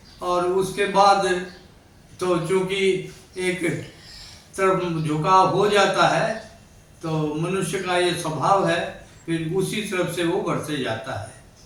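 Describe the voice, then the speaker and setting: There is audible room echo and noticeable background noise as a man talks with a high pitch and fairly even intonation. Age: 80s+. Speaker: writer and social worker. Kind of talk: interview.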